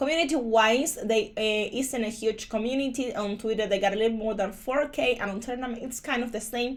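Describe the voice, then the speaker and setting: Speaking with a Spanish accent, a woman with a fairly high pitch and ordinary pitch variation talks at a moderate pace. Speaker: crypto YouTuber. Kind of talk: screen-share tutorial review. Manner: casual with frequent fillers.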